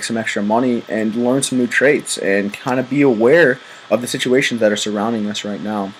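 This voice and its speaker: Noticeable background noise sits behind a man at a medium pitch. He talks at a fairly quick pace with fairly even intonation. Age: 20s. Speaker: college student and network marketing recruiter. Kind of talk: sales pitch. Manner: casual, filler-heavy.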